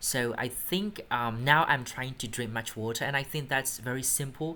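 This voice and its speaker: A moderate pace with a Burmese accent. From Myanmar. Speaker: English test instructor. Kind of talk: mock speaking exam answers. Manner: halting, with fillers.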